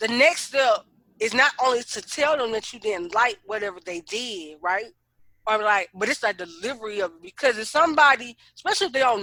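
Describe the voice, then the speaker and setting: A woman's bright, sharp voice moves at a fairly quick pace with lively intonation and big swings in loudness. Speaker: podcast co-host. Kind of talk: casual chat. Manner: loud when excited; fast.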